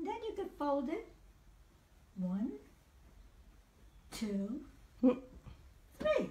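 A woman speaks very slowly in a high, dark and mellow voice with very wide pitch swings, and the room echo is audible. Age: 80s+. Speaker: grandmother. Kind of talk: home tutorial demonstration. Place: home room. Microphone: camera far.

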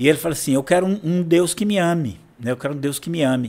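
A man's voice with very wide pitch swings. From São Vicente, São Paulo, Brazil; São Paulo, Brazil. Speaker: pastor and church history teacher; pastor, church history teacher. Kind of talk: guest interview, history lecture style. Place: studio. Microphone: studio mic.

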